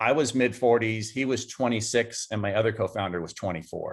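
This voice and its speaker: An unremarkable speaking voice at a fairly quick pace, with ordinary pitch variation, in a very clean recording with a silent background. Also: man. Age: 60s. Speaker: entrepreneur. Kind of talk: interview.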